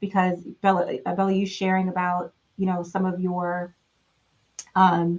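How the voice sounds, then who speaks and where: Speaking at a medium pitch, a woman keeps a monotone, flat intonation. She goes fairly slowly, with long, frequent pauses. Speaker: panel moderator. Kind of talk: panel discussion. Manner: casual.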